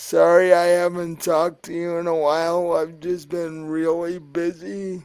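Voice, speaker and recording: Using a put-on character voice, a man speaks at a high pitch and a moderate pace with monotone, flat intonation. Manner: apologetic.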